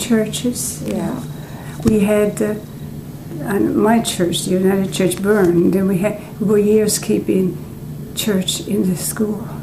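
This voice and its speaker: Over noticeable background noise, a woman at medium pitch talks at a very slow pace with fairly even intonation. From Newfoundland. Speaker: retired teacher. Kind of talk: oral history interview answer.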